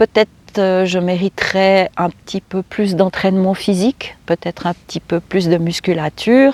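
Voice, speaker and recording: A woman talks at a fairly slow pace with fairly even intonation, recorded with a dry, close sound and no echo. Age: 60s. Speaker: vlogger. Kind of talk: casual vlog talk. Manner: halting, many fillers and repetitions.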